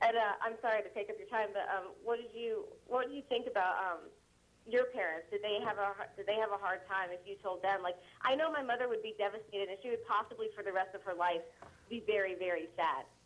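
This is a plain, everyday voice with ordinary pitch variation. It moves at a fairly quick pace. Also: woman, fairly high pitch for a woman. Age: 20s. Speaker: caller. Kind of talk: personal phone call. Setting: phone call.

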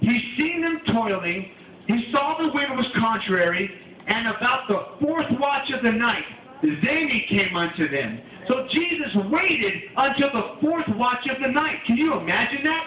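A man speaks with an extremely high pitch and lively intonation at a fairly slow pace. Light background noise and audible room echo come through. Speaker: preacher. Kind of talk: tent revival sermon. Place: tent. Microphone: camera far.

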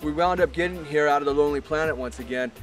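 The speech comes at a very fast pace with ordinary pitch variation. Clear music plays in the background, and the sound is dry with no echo. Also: man. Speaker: travel show host. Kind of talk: presenter piece to camera. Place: open country.

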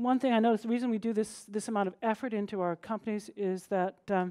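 Against a quiet background, a woman talks at a fairly quick pace in a dark, mellow tone with ordinary pitch variation. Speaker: conference speaker. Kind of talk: conference talk. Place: stage.

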